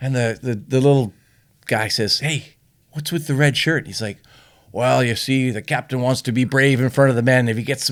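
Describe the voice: Fairly even intonation in plain reading aloud.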